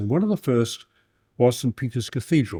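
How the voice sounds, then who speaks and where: A man with an Australian accent speaks in a dark, mellow tone that is somewhat breathy. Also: very clean recording, silent background. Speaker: historian. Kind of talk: lecture. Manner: fast.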